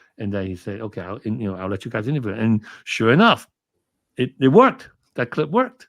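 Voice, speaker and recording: Recorded very cleanly against a silent background, a man talks at a very fast pace with big swings in loudness. His pitch is medium, with ordinary variation. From Hong Kong. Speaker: film commentator and documentary producer. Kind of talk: interview. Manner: halting.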